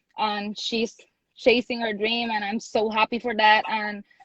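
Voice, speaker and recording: A woman with a fairly high, somewhat breathy voice speaks at a moderate pace with monotone, flat intonation. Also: dry, close sound with no echo. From Puerto Rico. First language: Spanish. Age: young. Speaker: pro wrestler. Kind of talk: interview. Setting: video call. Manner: halting, many fillers.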